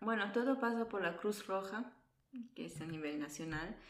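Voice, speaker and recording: A woman's voice with vocal fry and ordinary pitch variation, a fairly quick pace, and audible room echo. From Italy, born in Peru. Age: 20s. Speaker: nurse. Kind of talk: interview.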